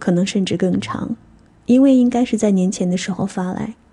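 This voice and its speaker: Her voice is somewhat breathy, with a dark, mellow tone. The woman speaks at a fairly high pitch. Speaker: radio DJ. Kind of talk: scripted narration. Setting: studio. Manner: stutter.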